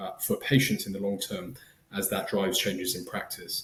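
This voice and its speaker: Here a man speaks with an English accent. His pace is fairly quick. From southern England. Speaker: startup founder, former physician. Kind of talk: podcast interview. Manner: halting, many fillers and restarts.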